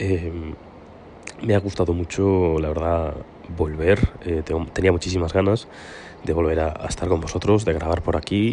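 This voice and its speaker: A man's very deep, low voice, fairly even in intonation, with long, frequent pauses over noticeable background noise. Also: moderate pace. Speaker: podcast host. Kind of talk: casual monologue. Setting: outdoors on a terrace. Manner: soft-spoken.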